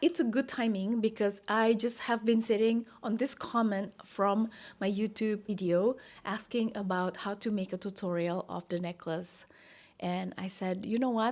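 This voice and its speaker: On a very clean recording with a silent background, a woman with a fairly high pitch speaks at a moderate pace with ordinary pitch variation. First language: not English. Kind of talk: casual vlog talk to camera.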